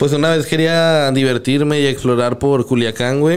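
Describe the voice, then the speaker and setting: Fairly even in intonation, a man talks at a fairly slow pace in an ordinary speaking voice. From Santa Catarina, Monterrey area, Mexico. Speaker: freestyle rapper. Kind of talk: casual chat.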